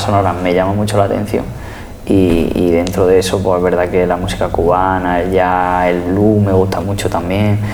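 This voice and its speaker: The loudness stays very even and the intonation is monotone and flat. Noticeable background noise and audible room echo fill the recording. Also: man. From Spain, Andalusia (Jaén). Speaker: flamenco pianist and composer. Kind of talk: interview. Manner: halting, repeats words.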